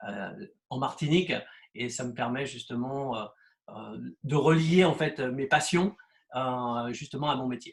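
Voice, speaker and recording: A man's medium-pitched, somewhat breathy voice, fairly slow, with ordinary pitch variation, big swings in loudness and long, frequent pauses. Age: 60s. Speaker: real estate agent. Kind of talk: interview. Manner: halting, many hesitations.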